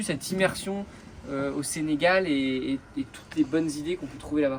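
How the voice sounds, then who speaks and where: This man has a fairly high pitch and lively intonation. Noticeable background noise sits behind him. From Brittany, France (Concarneau). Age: 30s. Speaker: environmental association founder, merchant navy officer. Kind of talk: interview. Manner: hesitant, many fillers.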